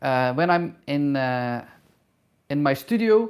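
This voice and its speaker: A woman with a non-native accent on a very clean recording with a silent background. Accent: noticeable non-native English. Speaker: hairdresser and travel YouTuber. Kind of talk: live Q&A. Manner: halting, many fillers.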